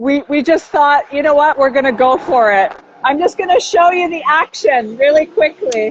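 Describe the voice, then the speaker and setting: A loud woman's voice, high in pitch with lively intonation, over noticeable background noise. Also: moderate pace. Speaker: architect and geomancer. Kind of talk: casual chat. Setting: outdoors on construction site, video call.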